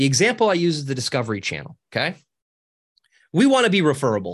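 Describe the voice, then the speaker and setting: A fairly high-pitched man at a very fast pace, animated in tone, with very wide pitch swings over a quiet background. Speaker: social media coach. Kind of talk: casual interview. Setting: video call. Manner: high energy, animated.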